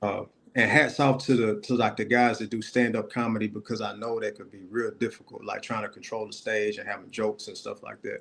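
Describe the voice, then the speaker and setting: A man at medium pitch, fairly quick and with hardly any pauses, monotone and flat in intonation, with big swings in loudness. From Middle Tennessee (Gallatin), US South. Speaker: content creator making comedy skits. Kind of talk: casual interview chat.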